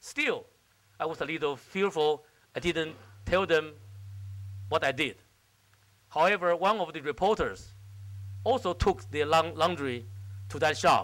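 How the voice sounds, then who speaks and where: Speaking with a Chinese accent at a fairly slow pace, the voice makes very wide pitch swings and takes long, frequent pauses. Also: man, fairly high pitch for a man. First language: Mandarin Chinese. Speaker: diplomat. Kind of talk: keynote speech. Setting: stage with audience. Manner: halting.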